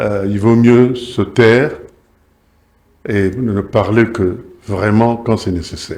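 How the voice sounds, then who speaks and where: A man at a very slow pace. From Kinshasa, DR Congo. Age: 80s+. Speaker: former state TV director and journalist. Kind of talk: talk show interview. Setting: TV studio. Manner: hesitant, many fillers.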